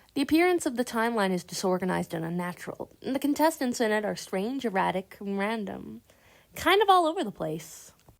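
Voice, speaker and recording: A woman's fairly high voice at a fairly quick pace, with very wide pitch swings, on a very clean recording with a silent background. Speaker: animation commentary youtuber. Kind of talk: video essay commentary.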